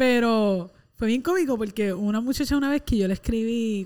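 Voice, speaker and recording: On a very clean recording with a silent background, someone with a Puerto Rican accent talks at a fairly quick pace with lively intonation. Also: woman. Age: 20s. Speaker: podcast co-host. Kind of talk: casual chat.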